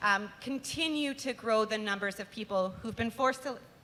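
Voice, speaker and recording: A loud woman's voice, fairly high in pitch with a bright, sharp tone, ordinary pitch variation and a moderate pace. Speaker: nonprofit communications manager. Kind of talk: event welcome speech. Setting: live concert venue with audience.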